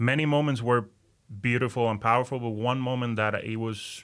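At a moderate pace, a man with a Puerto Rican accent speaks with fairly even intonation on a very clean recording with a silent background. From Puerto Rico. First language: Spanish. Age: 30s. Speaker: newly ordained deacon. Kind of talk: casual interview chat.

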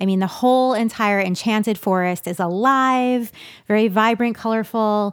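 Fairly high-pitched woman's voice in a slight East Coast accent, fairly slow with ordinary pitch variation, on a very clean recording with a silent background. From New York. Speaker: children's author and illustrator. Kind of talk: interview conversation.

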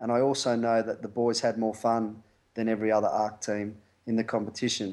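A man with an Australian accent talks at a fairly quick pace in a medium pitch. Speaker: rugby coach. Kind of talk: interview.

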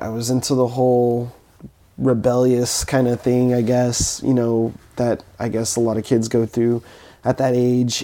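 This man speaks at a moderate pace with a medium pitch and a dark, mellow tone. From Southern California (Fontana). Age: 20s. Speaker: musician. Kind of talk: interview conversation. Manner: halting, with many fillers.

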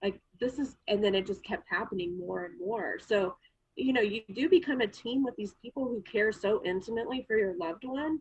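At a moderate pace, a woman with a fairly high, somewhat breathy voice speaks with lively intonation. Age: 40s. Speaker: former family caregiver, photographer. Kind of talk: personal testimony in podcast interview. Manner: hesitant, many fillers.

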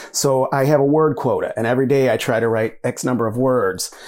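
A man speaks with an American accent in a plain, everyday voice. His pitch is medium, his pace moderate, and his pitch variation ordinary. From US Midwest, Michigan. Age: 50s. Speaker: writer and university lecturer. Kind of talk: interview conversation.

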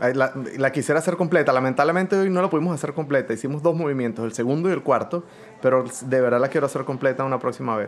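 Noticeable background noise sits behind a man with a fairly high pitch. He talks at a very fast pace with ordinary pitch variation. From Venezuela. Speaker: orchestra conductor. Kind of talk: interview. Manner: halting.

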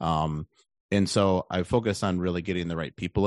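In an American accent, a man speaks at a fairly quick pace with fairly even intonation, the sound dry and close with no echo against a quiet background. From Wisconsin, Milwaukee area. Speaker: real estate investor. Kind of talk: interview.

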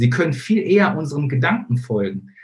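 A somewhat breathy man with a fairly high voice speaks at a moderate pace, his pitch swinging very widely. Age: 30s. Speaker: facebook marketing coach. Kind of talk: online training webinar. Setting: live stream with screen sharing.

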